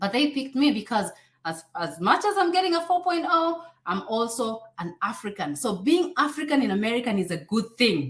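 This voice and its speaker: With a Kenyan accent, a woman speaks at a fairly high pitch that swings very widely. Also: moderate pace. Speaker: YouTuber and immigration advisor. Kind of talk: live stream Q&A. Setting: live stream. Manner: animated.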